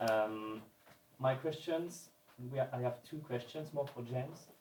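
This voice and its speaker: In a French accent, a man speaks fairly slowly at a fairly high pitch. His voice is somewhat breathy, with ordinary pitch variation. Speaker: audience member. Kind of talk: audience question read from notes. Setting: live event with audience.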